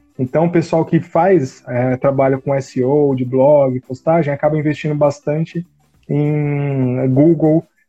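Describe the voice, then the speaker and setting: With music in the background, a man with a fairly high pitch speaks at a very slow pace in a flat monotone. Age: 30s. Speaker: marketing consultant and university professor. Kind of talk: casual interview on a live stream.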